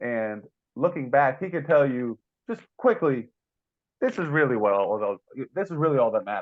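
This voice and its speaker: Very wide pitch swings from a man speaking at a moderate pace. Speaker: podcast co-host; chocolate business owner. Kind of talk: casual chat.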